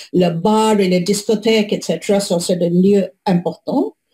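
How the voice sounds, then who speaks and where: A woman's somewhat breathy voice with a non-native accent, medium in pitch, dark and mellow in tone, at a fairly slow pace. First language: not French (speaking French). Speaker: public health researcher. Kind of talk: webinar presentation. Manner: halting, many hesitations.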